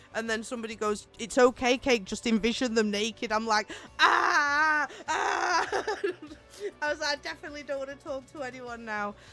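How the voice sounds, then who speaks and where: Over music in the background, a woman talks at a moderate pace in a high voice with ordinary pitch variation. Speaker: raid trainer and streamer. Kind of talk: casual chat.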